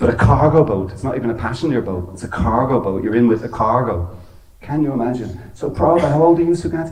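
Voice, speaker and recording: With an Irish accent, a man talks at a very fast pace and medium pitch with lively intonation, amid noticeable background noise and audible room echo. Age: 60s. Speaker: temple speaker. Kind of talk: religious talk. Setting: temple with audience.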